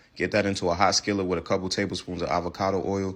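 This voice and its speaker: A man talks at a very fast pace with a New York accent. His pitch is very deep and low. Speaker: cooking content creator. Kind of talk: recipe tutorial. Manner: casual.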